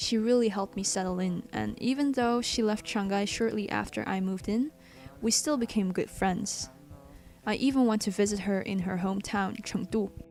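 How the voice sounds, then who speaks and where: With music in the background, a woman with a Chinese accent speaks at a medium pitch and moderate pace, using ordinary pitch variation. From Belgium. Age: young. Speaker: vlogger. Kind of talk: scripted narration.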